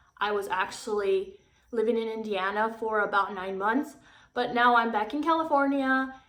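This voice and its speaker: Audible room echo surrounds a woman who speaks at a moderate pace, her fairly high voice showing ordinary pitch variation. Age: 20s. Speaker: YouTuber. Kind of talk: casual vlog talk to camera. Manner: halting, many fillers.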